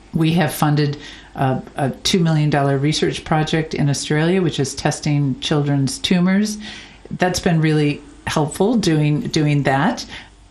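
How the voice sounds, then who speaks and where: A woman's very deep, low voice with an American accent, fairly slow and very even in loudness, with ordinary pitch variation and noticeable background noise. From United States. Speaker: charity founder. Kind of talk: interview. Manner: halting, with frequent repetitions.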